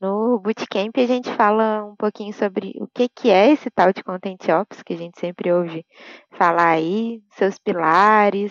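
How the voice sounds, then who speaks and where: With a Minas Gerais accent, a woman talks at a fairly slow pace in a medium pitch. Her pitch variation is ordinary, while her loudness swings widely. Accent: mineiro. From Brazil, Minas Gerais (Belo Horizonte). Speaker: UX writer and content ops specialist. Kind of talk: podcast interview.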